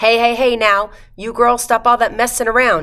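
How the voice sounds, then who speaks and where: A female-sounding put-on character voice, fairly high in pitch, moves at a moderate pace. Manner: mumbling, slow.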